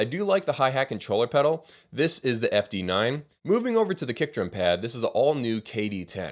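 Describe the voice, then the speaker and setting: The voice moves at a fairly quick pace with hardly any pauses. Its pitch swings very widely. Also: man, medium pitch for a man. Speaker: drum gear reviewer. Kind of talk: product review. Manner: fast; casual.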